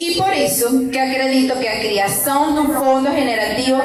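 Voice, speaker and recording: In a Venezuelan accent, a woman talks at a fairly slow pace in a high, lively voice, with noticeable background noise and audible room echo. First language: Spanish (speaking Portuguese). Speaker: migrant community activist. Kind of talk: panel presentation. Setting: outdoor courtyard, live audience.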